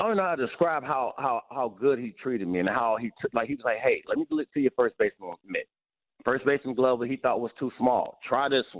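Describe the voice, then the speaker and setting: Talking at a fairly quick pace, a man keeps a medium pitch with ordinary pitch variation. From US Midwest. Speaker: baseball analyst and former player. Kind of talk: casual sports talk. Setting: phone call. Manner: casual, conversational.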